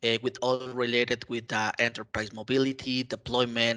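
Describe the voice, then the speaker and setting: A man talks at a moderate pace with a medium pitch and a bright, sharp tone. The sound is dry and close with no echo, over a quiet background. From Mexico. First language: Spanish. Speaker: IT consultant and community contributor. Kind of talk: interview. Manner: halting, many fillers.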